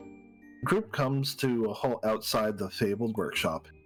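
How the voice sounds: The voice reads in a natural way. That reading voice runs through the recording.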